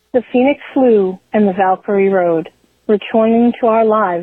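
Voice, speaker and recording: A woman talks in a plain, everyday voice at a medium pitch. Her pace is moderate, with ordinary pitch variation. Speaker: listener leaving voicemail. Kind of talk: voicemail message. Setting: phone call.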